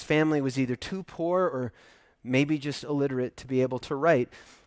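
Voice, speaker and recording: On a very clean recording with a silent background and a dry, close sound with no echo, a man with a fairly high pitch speaks at a moderate pace in a normal speaking voice. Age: 50s. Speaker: pastor. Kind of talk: sermon.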